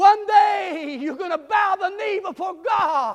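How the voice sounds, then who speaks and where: A man's animated, stern tone. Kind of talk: sermon. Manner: fervent and exultant, punchy repetition building to shouts.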